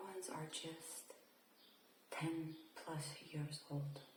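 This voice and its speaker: A woman speaks softly. Her tone is gentle and relaxed. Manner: soft-spoken, gentle, relaxed.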